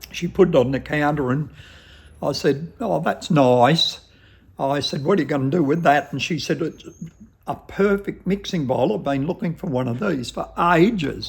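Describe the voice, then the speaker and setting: With a strong Australian accent, a man speaks at a moderate pace and a fairly high pitch. His voice is somewhat breathy, with ordinary pitch variation. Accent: broad Australian. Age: 70s. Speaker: shop owner. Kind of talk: interview, casual storytelling.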